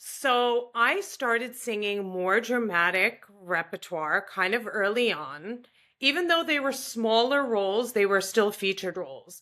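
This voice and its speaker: Bright and sharp in tone, a woman with a New York accent talks at a fairly slow pace and medium pitch with lively intonation, in a very clean recording with a silent background. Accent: New York American. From US Northeast, Long Island, New York. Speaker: opera singer. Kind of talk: interview conversation.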